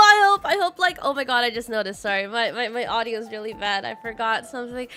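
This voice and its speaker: A woman with a bright, sharp tone raises and projects her voice, sounding animated as her pitch swings very widely. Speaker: vtuber streamer. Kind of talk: casual chat.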